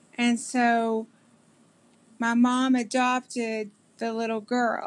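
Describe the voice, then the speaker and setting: A woman speaks in a fairly high pitch with a Kentucky accent. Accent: Kentucky Southern American. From US South, southeastern Kentucky. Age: 40s. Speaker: interviewee. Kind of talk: interview. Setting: video call. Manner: halting, many fillers.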